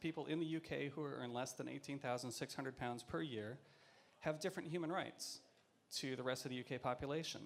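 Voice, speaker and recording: A man with an American accent uses an ordinary speaking voice, fairly high in pitch, with ordinary pitch variation. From US, Seattle. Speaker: theatre producer and activist. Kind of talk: panel talk. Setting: stage with audience.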